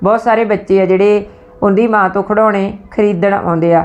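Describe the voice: The text is read aloud plainly, with fairly even intonation.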